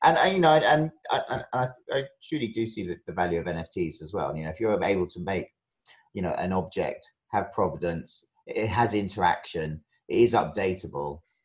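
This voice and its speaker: With a British accent, a man speaks at a fairly quick pace in a fairly low, somewhat breathy voice. His pitch swings very widely and his loudness shifts a lot. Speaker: podcast host. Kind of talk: casual interview chat.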